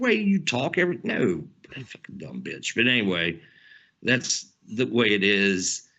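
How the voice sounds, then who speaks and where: A man talks in a Southern US accent with an animated tone. His pitch swings very widely. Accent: Southern twang. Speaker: podcast co-host. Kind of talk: casual chat.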